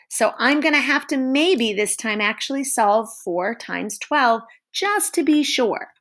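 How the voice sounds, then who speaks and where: A woman speaks at a fairly slow pace with very wide pitch swings and vocal fry. The recording is very clean, with a silent background. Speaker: elementary school teacher. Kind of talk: tutorial. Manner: slow, step by step.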